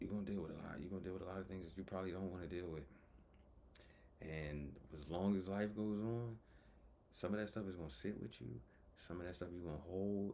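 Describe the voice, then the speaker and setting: Amid audible room echo, a man with a dark, mellow tone and a very deep, low pitch speaks at a very fast pace with ordinary pitch variation and long, frequent pauses. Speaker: vlogger. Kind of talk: personal vlog monologue. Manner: halting, with stutters and pauses.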